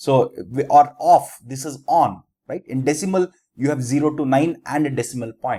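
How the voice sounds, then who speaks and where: A man's dark, mellow tone at a fairly high pitch, with an Indian accent. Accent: Indian English (Telugu). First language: Telugu. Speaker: teacher. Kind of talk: lecture. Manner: halting, self-correcting.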